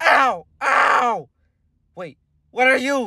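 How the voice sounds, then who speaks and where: A put-on character voice is delivered at a fairly high pitch. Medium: role play.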